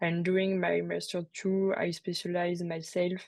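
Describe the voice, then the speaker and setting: Speaking at a fairly slow pace in a French accent, a woman is heard over a quiet background. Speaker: PhD student in cosmology. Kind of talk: webinar talk. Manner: halting, many fillers.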